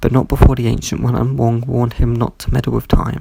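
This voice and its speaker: There is noticeable noise in the background. Over it, a man talks fairly quickly. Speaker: pop culture reviewer. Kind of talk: scripted review narration.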